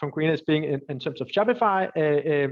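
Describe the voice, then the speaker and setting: A man at a fairly high pitch and fairly quick pace, with a Danish accent. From Denmark. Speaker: entrepreneur and angel investor. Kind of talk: webinar Q&A. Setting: live webinar. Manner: halting, many fillers and repetitions.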